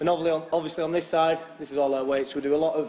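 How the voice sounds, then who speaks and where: Someone with a Lancashire accent talks at a very fast pace. Noticeable background noise runs underneath. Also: man. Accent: Lancashire (Wigan) English. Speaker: professional rugby league player. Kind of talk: guided tour for school pupils. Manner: hesitant, many repeated words.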